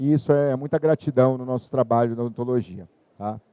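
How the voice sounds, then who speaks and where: A dark, mellow tone at a moderate pace, with ordinary pitch variation and a dry, close sound with no echo. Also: man. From northern Brazil, Belém do Pará. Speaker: dentist and university professor. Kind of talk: lecture.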